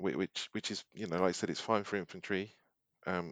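A British accent at a moderate pace, dry and close with no echo, over a quiet background. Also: man. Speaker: podcast co-host. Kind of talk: casual banter.

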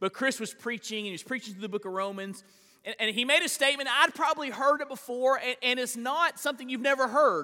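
A man's raised, projected voice, extremely high in pitch with ordinary pitch variation, at a very fast pace. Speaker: pastor. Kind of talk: sermon. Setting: church.

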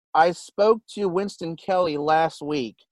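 Recorded with a dry, close sound and no echo, a man with an unremarkable speaking voice talks at a fairly high pitch with ordinary pitch variation. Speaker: racing radio co-host. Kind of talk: radio interview and show banter. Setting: Zoom call with guest.

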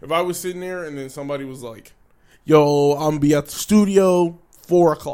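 A man with an American accent speaks in a dark, mellow tone at a fairly high pitch. His pace is moderate, with ordinary pitch variation and big swings in loudness. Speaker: podcast co-host. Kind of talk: casual chat.

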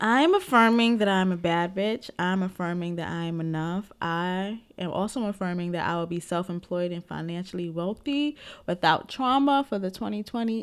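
A woman with a New York accent, medium in pitch, hardly any pauses, on a very clean recording with a silent background. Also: ordinary pitch variation, moderate pace. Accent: New York (Bronx). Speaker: podcast co-host and special education teacher. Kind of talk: casual chat.

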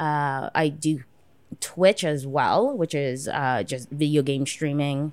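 A woman's very deep, low voice with a Toronto accent, very slow pace and ordinary pitch variation. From Canada, Toronto (Jane and Finch). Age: 30s. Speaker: sex worker and streamer. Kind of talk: casual chat.

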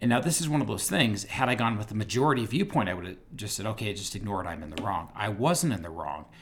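A man speaks very fast with hardly any pauses, in a fairly low, somewhat breathy voice whose pitch swings very widely. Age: 40s. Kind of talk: casual podcast discussion.

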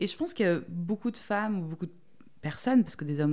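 Her voice has a dark, mellow tone. The woman's intonation is lively. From Marseille, southern France. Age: 30s. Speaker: plus-size model. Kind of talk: interview testimony.

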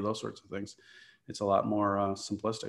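Over a quiet background, a man with a fairly low pitch rattles along at a very fast pace in a monotone, flat delivery. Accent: Chicago. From US Midwest, Chicago area. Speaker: real estate investor and architect. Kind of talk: interview.

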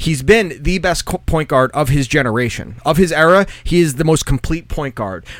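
A man's fairly high voice, animated in tone and lively in intonation, at a moderate pace with hardly any pauses. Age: 30s. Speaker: podcast co-host. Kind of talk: casual chat.

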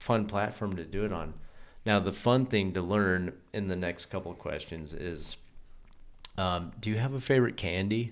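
An ordinary speaking voice from a man, fairly low in pitch, with ordinary pitch variation, a moderate pace, and a very clean recording over a silent background. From US West, Colorado. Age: 30s. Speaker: podcast host. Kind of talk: casual chat.

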